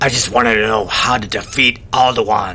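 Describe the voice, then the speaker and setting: A man puts on a raspy character voice at a medium pitch. Light background noise sits behind him. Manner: put-on character voice.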